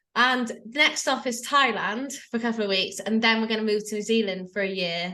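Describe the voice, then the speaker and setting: Loud and at a fairly quick pace, a woman with an English accent speaks in a bright, sharp tone, fairly high in pitch with ordinary pitch variation. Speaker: life coach. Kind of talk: interview. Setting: video call.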